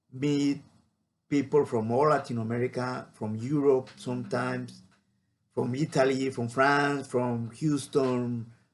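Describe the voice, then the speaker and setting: A man talks with a Spanish accent. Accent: Spanish (non-native English). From Mexico, Baja California Sur. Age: 40s. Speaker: marine biologist. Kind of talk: personal storytelling monologue. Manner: halting, many fillers.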